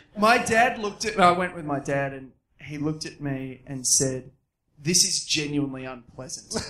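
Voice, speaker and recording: A man with an Australian accent talks at a moderate pace in a fairly high pitch. His intonation is lively, and his loudness swings widely. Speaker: comedian. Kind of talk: casual chat. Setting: stage with audience.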